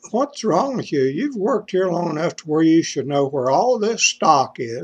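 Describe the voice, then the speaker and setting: With an Appalachian accent, a man speaks at a moderate pace and with lively intonation. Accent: Appalachian Kentucky. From eastern Kentucky. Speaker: joke teller vlogger. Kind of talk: casual joke telling monologue. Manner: stammering.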